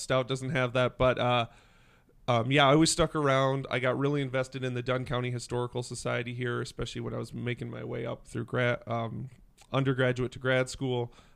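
Man with an Upper Midwest accent, medium-pitched and fairly quick, against a quiet background. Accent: Upper Midwest American. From western Wisconsin. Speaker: downtown business organization director. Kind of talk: casual interview chat.

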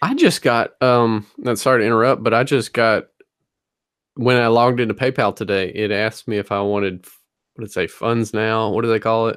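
A man with a Southern US accent at a medium pitch, fairly quick pace, fairly even intonation and big swings in loudness. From US South, North Louisiana. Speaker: reseller podcast co-host. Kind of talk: casual chat. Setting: video call.

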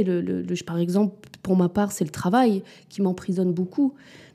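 A woman talks at a moderate pace. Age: 30s. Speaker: mother of two. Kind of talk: casual chat. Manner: halting.

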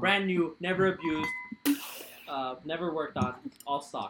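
A man's voice, with ordinary pitch variation, comes through while music plays in the background. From Mexico. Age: 20s. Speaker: car enthusiast and photographer. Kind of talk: casual chat. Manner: animated.

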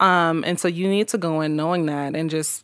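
A woman's very deep, low voice in a monotone, flat delivery, on a very clean recording with a silent background. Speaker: podcast host. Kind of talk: casual chat.

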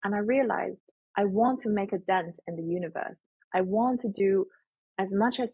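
Moderate pace from a woman in a Chinese accent, medium in pitch, somewhat breathy, with ordinary pitch variation. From China, Shandong province. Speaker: etiquette and life skills educator. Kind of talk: interview.

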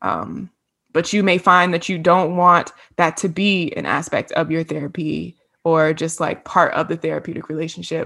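A woman with an American accent, fairly low-pitched with vocal fry, flat and monotone, at a moderate pace against a quiet background. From Virginia, US (Hampton). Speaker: podcast co-host, counseling graduate. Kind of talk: casual chat.

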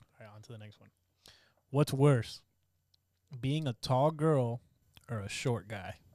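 A man with a medium pitch and a dark, mellow tone speaks at a fairly slow pace with long, frequent pauses and big swings in loudness. The recording is very clean, with a silent background. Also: ordinary pitch variation. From Miami, Cuban-Venezuelan-Panamanian heritage. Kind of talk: casual chat.

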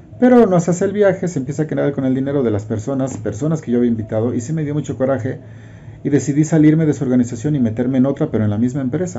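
Very fast and somewhat breathy, a man speaks at a medium pitch with ordinary pitch variation. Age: 50s. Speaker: network marketing promoter. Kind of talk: testimony.

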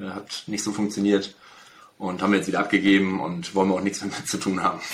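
Delivered at a fairly quick pace, the speech has a monotone, flat intonation over noticeable background noise. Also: man. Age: 30s. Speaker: real estate agent. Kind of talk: interview.

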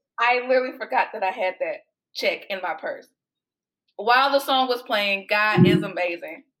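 A woman's fairly high voice in an American accent, at a fairly quick pace with ordinary pitch variation. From Texas, Houston. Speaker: author and body positivity advocate. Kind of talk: casual chat. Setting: video call.

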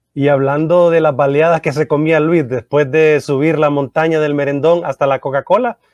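A man with a plain, everyday voice and fairly high pitch talks at a moderate pace with hardly any pauses. The sound is dry and close with no echo, the loudness very even and the intonation fairly even. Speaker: radio host. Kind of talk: interview.

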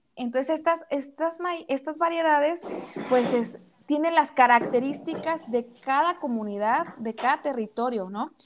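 A woman's high-pitched voice with ordinary pitch variation at a fairly slow pace. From Mexico, rural Jalisco town. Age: 30s. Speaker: entrepreneur selling native corn products. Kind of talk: casual interview. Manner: halting, many repetitions.

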